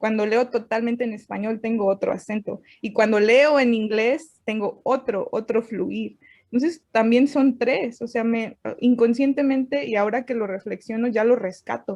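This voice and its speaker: Fairly high female speech at a moderate pace with fairly even intonation. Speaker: writer. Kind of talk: interview.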